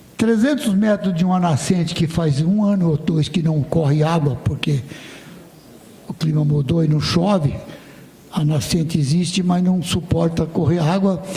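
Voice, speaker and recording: Loudness stays very even, with ordinary pitch variation. The pace is fairly slow, and background noise is noticeable. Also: man, high pitch for a man. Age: 80s+. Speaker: state legislator and farmer. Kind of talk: parliamentary debate.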